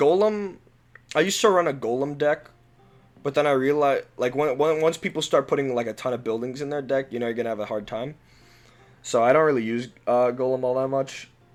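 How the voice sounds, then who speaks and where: A man talks at a fairly quick pace with a fairly high pitch and ordinary pitch variation. Music plays in the background. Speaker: gaming youtuber. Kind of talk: casual commentary. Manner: halting, many fillers; volume jumps louder.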